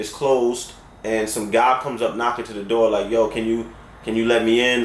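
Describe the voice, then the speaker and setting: A man with a New York accent speaks in an animated tone, with audible room echo. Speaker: storyteller. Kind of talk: storytelling. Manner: casual, animated.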